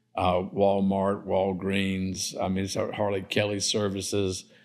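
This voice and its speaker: A man with a South Carolina accent speaks at a fairly slow pace in a monotone, flat intonation, in a very clean recording with a silent background. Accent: South Carolina Southern. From US South. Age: 70s. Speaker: developer and entrepreneur. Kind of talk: casual interview. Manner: halting, many fillers.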